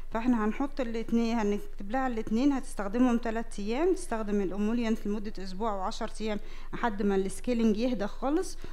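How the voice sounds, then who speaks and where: A dark, mellow tone at a fairly quick pace, with hardly any pauses and ordinary pitch variation. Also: woman. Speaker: dermatology professor demonstrating. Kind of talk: lecture. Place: hall. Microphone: headset.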